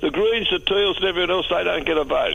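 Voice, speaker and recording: Over noticeable background noise, a man speaks in an Australian accent. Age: 80s+. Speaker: caller. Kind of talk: talkback radio call. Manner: halting, repetitive.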